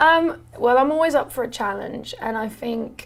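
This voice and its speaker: Fairly slow speech comes from a woman. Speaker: students' union officer. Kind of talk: interview. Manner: loud.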